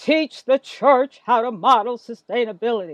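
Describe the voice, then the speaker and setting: Booming and fairly high in pitch, the put-on character voice moves at a moderate pace. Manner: commanding.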